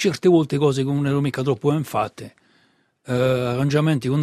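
A man with a dark, mellow tone talks at a very fast pace with ordinary pitch variation. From Corsica, Bastia. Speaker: singer. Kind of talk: casual chat. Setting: radio studio. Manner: halting.

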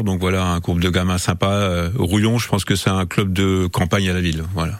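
With monotone, flat intonation and a moderate pace, a man speaks in a very deep, low pitch. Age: 60s. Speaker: football coach. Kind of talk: radio interview. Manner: hesitant, many fillers.

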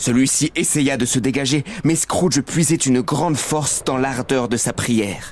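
A man talks at a fairly slow pace in a solemn tone. There is noticeable background noise. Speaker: narrator reading the tale. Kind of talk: dramatic narration, scripted storytelling. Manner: hushed, solemn, suspenseful; gravely paced, building tension and dread.

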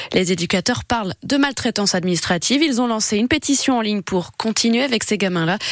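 A woman with a fairly high pitch talks very fast with hardly any pauses, her intonation lively and her loudness very even, in a dry, close sound with no echo. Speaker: radio news presenter. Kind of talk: news reading. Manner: formal.

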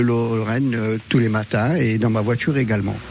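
A man's medium-pitched voice at a moderate pace, fairly even in intonation, over noticeable background noise. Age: old. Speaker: retired caricaturist, radio listener. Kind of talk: casual interview.

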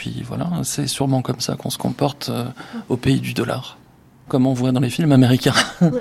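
Speaking at a fairly quick pace, a man breaks his speech with long, frequent pauses. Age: 40s. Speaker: business executive. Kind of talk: interview testimony.

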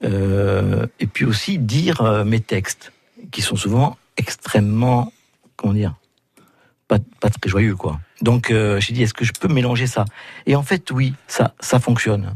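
Very slowly and with long, frequent pauses, a man speaks at a medium pitch in a somewhat breathy voice with ordinary pitch variation, the sound dry and close with no echo. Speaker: comedian and painter. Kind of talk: interview. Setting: studio.

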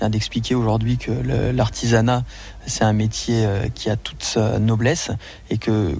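With fairly even intonation, a man of medium pitch has an unremarkable speaking voice. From France, Auvergne. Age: 30s. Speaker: chef. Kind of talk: radio interview.

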